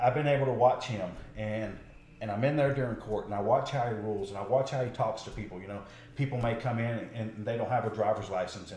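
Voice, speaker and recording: Room echo is audible as a man delivers his words at a fairly quick pace. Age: 40s. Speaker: political candidate, patrol deputy. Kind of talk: interview.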